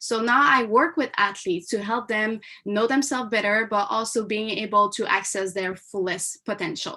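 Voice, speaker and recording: A woman's medium-pitched voice in a French Canadian accent, with a bright, sharp tone. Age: 20s. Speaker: mindset coach and former taekwondo athlete. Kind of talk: live online seminar. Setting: live stream.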